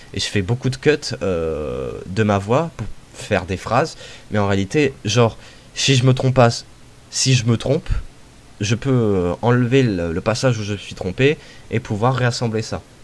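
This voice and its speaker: A man at medium pitch with lively intonation, a fairly slow pace and long, frequent pauses, over noticeable background noise. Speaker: YouTuber. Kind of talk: interview. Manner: halting.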